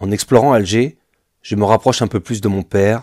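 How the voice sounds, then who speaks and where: A man's fairly low, dark, mellow voice at a fairly quick pace, with ordinary pitch variation and a dry, close sound with no echo, in a very clean recording against a silent background. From France. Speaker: travel vlogger. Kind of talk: scripted narration. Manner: formal.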